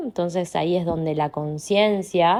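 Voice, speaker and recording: This woman's voice sits fairly low, with ordinary pitch variation. The recording is very clean and the background silent. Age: 30s. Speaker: coach. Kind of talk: monologue podcast. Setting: at home. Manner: reflective, meandering.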